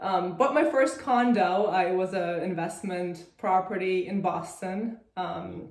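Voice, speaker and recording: A woman of medium pitch in a Russian accent, very slow in pace with hardly any pauses, ordinary pitch variation and audible room echo. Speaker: real estate investor. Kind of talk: interview.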